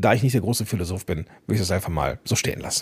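This is a man's voice. It sounds somewhat breathy. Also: very clean recording, silent background. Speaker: podcast coach and host. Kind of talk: solo podcast monologue.

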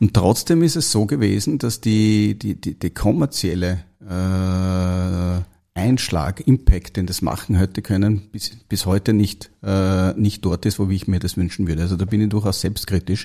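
Very clean, with a silent background, the recording captures a man with a very deep, low pitch and an Austrian accent. He speaks at a fairly slow pace in a dark, mellow tone with ordinary pitch variation. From Austria, Upper Austria. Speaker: biotech company founder and CEO. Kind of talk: interview. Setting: studio. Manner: halting, many fillers.

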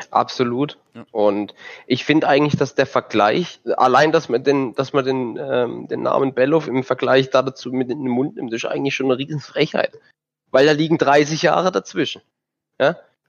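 A man with an unremarkable speaking voice keeps a medium pitch and fairly even intonation while talking at a moderate pace. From southern Germany. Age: 20s. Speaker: sim racing driver. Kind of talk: casual chat.

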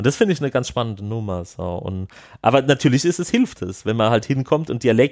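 A man talks at a very fast pace with medium pitch. The recording is very clean with a silent background, and the sound is dry and close with no echo. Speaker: film participant. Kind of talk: interview.

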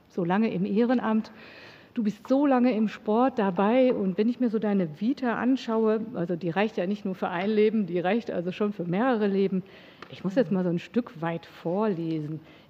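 Noticeable background noise sits behind speech that goes at a moderate pace, its pitch varying in an ordinary way. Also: woman, medium pitch for a woman. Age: 50s. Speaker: podcast host. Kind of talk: interview. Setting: studio.

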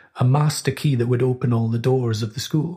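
A man speaks at medium pitch and a moderate pace, with ordinary pitch variation. His tone is dark and mellow, somewhat breathy. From Scotland, Orkney. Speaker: composer. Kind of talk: casual chat. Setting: studio.

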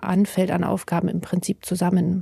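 Dry and close with no echo, a woman with a dark, mellow, somewhat breathy tone speaks at a fairly slow pace in monotone, flat intonation. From Bavaria, near the Alps. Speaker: livestream crew member. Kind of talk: casual interview.

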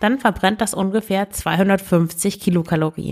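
A woman's normal speaking voice at medium pitch, on a very clean recording with a silent background. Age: 30s. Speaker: podcast host and eating coach. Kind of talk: solo podcast advice talk.

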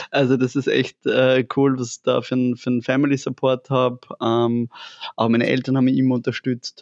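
With monotone, flat intonation and very even loudness, a man speaks at a moderate pace and medium pitch in a dry, close sound with no echo. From Upper Austria, near Linz. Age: 30s. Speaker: fashion entrepreneur. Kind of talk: casual interview. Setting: in their shop.

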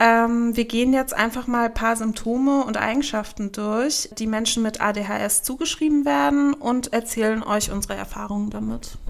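Over noticeable background noise, a woman with a fairly high pitch speaks at a moderate pace, with ordinary pitch variation and hardly any pauses. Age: 30s. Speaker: magazine editor and podcast host. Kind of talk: casual chat.

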